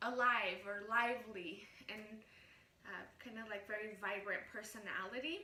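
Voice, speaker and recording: In a room with audible echo, a woman with a Spanish accent speaks fairly slowly in an animated tone, her fairly high pitch paired with big swings in loudness. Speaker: vlogger. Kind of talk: casual vlog talk.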